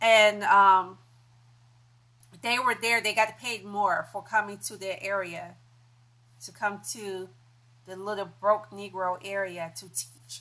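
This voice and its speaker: With a Southern US accent and a bright, sharp tone, a woman talks very slowly at a medium pitch with ordinary pitch variation and long, frequent pauses. Her loudness swings widely over a quiet background. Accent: Southern dialect noted since childhood. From US South. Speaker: YouTuber. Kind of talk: live stream monologue. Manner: rambling with many fillers and restarts.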